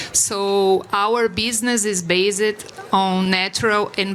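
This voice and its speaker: A woman's medium-pitched voice with a Brazilian Portuguese accent, flat monotone intonation, and noticeable background noise. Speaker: corporate sustainability executive. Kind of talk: panel discussion. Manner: halting.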